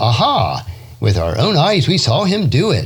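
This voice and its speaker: Over noticeable background noise, a man talks at a fairly slow pace, his pitch swinging very widely. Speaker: podcast host, Bible devotional teacher. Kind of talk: scripture reading.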